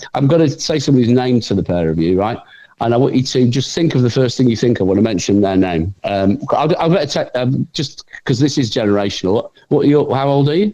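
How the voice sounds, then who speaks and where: In an English accent, a man speaks at a very fast pace with lively intonation. His medium-pitched voice has a dark, mellow tone and very even loudness. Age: 60s. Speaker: TV writer and performer. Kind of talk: casual interview chat. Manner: halting, repetitive.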